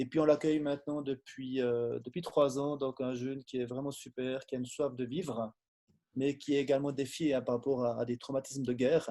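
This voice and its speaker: With a slight Swiss French accent, a man speaks at a fairly quick pace in a monotone, flat intonation, his medium-pitched voice dark and mellow. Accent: slight Swiss French accent, strongly rolled R. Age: 40s. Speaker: lay preacher giving testimony, forester. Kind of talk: testimony. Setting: Zoom video call from his office.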